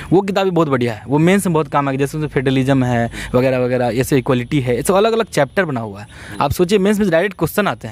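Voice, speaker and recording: Talking at a very fast pace with hardly any pauses, a man uses a fairly high pitch and very wide pitch swings. His loudness swings a lot, and the sound is dry with no echo. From Bihar, India. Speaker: civil services topper; interview guest. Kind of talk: interview. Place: open country.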